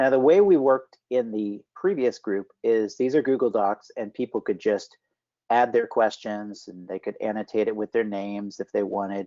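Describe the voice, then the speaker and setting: Here a man talks at a moderate pace with ordinary pitch variation. The background is quiet. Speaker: health data standards specialist; presenter. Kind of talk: work meeting presentation. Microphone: video call.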